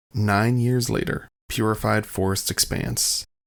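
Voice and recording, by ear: Vocal fry colors this voice. It belongs to a man. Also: fairly bright tone.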